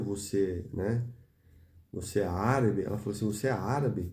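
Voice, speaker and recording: A dark, mellow, somewhat breathy voice moves at a moderate pace with ordinary pitch variation. Audible room echo is present. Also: man. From Brazil. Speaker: preacher. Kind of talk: sermon.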